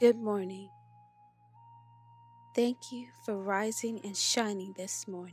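A woman's calm, soothing, medium-pitched voice at a very slow pace, with fairly even intonation, long and frequent pauses, big swings in loudness and music in the background. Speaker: meditation guide. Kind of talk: guided meditation.

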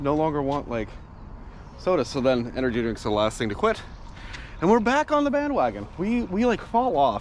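A man speaks at a moderate pace with very wide pitch swings. The sound is dry with no echo, and there is light background noise. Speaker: vlogger. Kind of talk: casual vlog chat. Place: street. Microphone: phone near.

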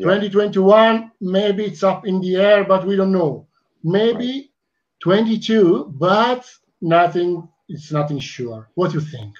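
Against a quiet background, a man with an Italian accent and high pitch speaks at a very slow pace, his loudness swinging widely. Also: ordinary pitch variation. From Italy. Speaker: fan club talk show host; talk show host. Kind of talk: casual interview. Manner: halting. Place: home room. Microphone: headset.

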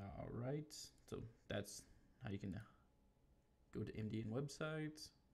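A man talks at a fairly slow pace, his voice somewhat breathy. He leaves long, frequent pauses. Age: 30s. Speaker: YouTuber learning to code. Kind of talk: screen-share tutorial; casual screen-recording commentary. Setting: live stream. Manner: casual, many fillers. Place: home room.

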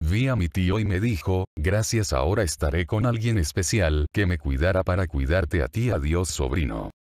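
This man has a very deep, low pitch with vocal fry. His intonation is lively, and the sound is dry and close with no echo. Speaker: creepypasta narrator. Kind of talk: scripted ghost story narration.

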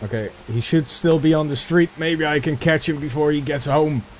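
Noticeable background noise sits under this recording. A man talks at a moderate pace with a fairly high pitch. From Netherlands. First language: Dutch. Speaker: gaming video creator. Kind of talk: let's play gameplay commentary. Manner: casual and chatty.

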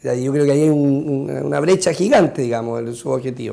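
The man's voice sits fairly high in pitch. His tone is dark and mellow. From Chile, Chiloé; Chile. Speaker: congressman; politician interviewed. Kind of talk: interview. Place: studio.

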